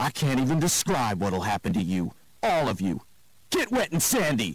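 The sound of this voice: A man puts on a growling character voice at a medium pitch. His pitch swings very widely as he talks at a moderate pace.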